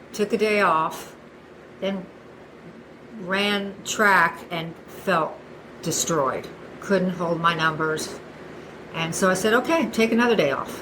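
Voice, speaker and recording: With long, frequent pauses, a woman speaks at a very slow pace and medium pitch with ordinary pitch variation, over noticeable background noise and audible room echo. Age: 60s. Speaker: masters runner. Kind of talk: casual interview.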